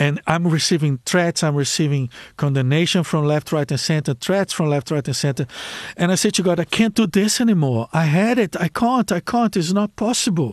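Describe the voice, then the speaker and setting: A man with a Brazilian accent speaks at a fairly quick pace in a high voice with lively intonation. The sound is dry and close, without echo. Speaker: life coach.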